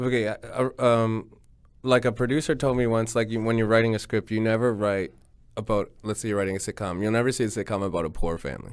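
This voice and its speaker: A man talking at a very fast pace with a Canadian accent, on a very clean recording with a silent background. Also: medium pitch for a man. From Canada (Ottawa, Ontario). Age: 30s. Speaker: stand-up comedian. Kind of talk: casual chat. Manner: mellow monotone with sudden bursts.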